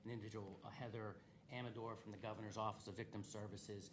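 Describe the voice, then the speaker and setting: A man speaks with fairly even intonation. His voice carries audible room echo. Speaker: state's attorney presenting to county commissioners. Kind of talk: public meeting presentation. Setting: county government meeting. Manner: fast; halting, many fillers.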